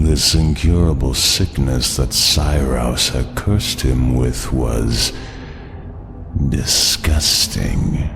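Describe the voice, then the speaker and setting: A man uses a put-on character voice at a very slow pace. Loud noise fills the background. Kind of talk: horror monologue. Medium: audio drama. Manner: theatrical, self-satisfied, condescending.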